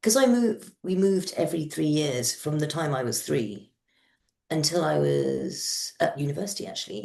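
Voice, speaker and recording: A woman with a British accent speaks at a fairly slow pace in a fairly low pitch, her tone dark and mellow. Her voice shows vocal fry and very wide pitch swings. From peripatetic childhood (US, Kenya, Madagascar, Yemen, Morocco). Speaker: novelist. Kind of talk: interview. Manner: halting.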